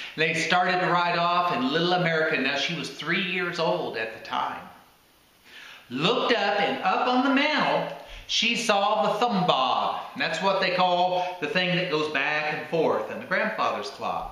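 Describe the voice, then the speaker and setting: Speaking in a Southern US accent, a man with a high pitch uses lively intonation at a fairly slow pace. Background noise can be clearly heard. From Tennessee. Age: old. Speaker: storyteller grandfather. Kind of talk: family storytelling to camera.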